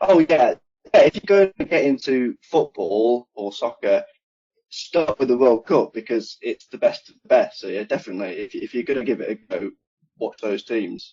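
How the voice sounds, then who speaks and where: Speaking at a moderate pace with an English Midlands accent, a man shows big swings in loudness. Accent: British (English Midlands). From England, Nottingham (East Midlands). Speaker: HVAC engineer. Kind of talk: podcast interview.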